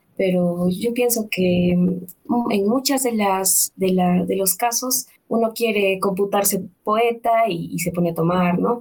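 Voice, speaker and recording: A woman's somewhat breathy voice at medium pitch, with ordinary pitch variation, very even loudness and a very slow pace. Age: 20s. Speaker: literature student. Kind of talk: interview. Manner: halting.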